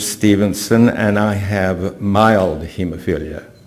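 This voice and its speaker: With noticeable noise behind him, a man speaks very slowly in a fairly low voice, with ordinary pitch variation. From Canada. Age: 80s+. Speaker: patient speaker. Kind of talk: conference talk.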